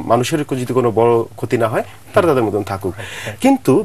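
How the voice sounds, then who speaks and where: A man's voice with very wide pitch swings. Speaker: TV talk show host. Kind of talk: TV talk show interview.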